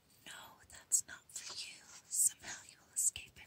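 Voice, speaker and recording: At a very slow pace, the words come out in a whisper. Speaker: ASMR creator. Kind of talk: whispered book reading for ASMR. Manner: whispered, soft.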